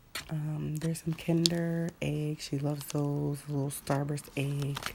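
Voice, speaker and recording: A woman talks very slowly in a very deep, low voice. Noticeable background noise runs underneath. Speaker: vlogger. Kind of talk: casual show-and-tell.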